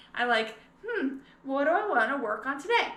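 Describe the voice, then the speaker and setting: Over audible room echo, a woman projects a raised, high-pitched voice. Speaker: scrapbooking consultant and video creator. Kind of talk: casual tutorial vlog. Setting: living room at home.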